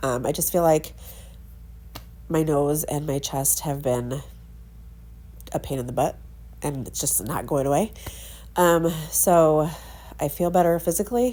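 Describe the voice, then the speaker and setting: With vocal fry and a dark, mellow tone, a woman speaks at a very deep, low pitch and a fairly slow pace, using ordinary pitch variation and long, frequent pauses. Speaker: scrapbooking crafter. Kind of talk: tutorial. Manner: casual.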